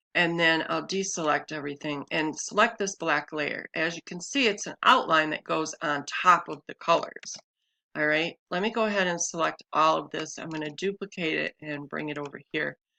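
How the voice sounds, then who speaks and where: A woman with very deep, low pitch and a bright, sharp tone speaks at a moderate pace with vocal fry, ordinary pitch variation and big swings in loudness, in a dry, close sound with no echo. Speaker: crafting tutorial creator. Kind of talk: tutorial. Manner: casual, many fillers.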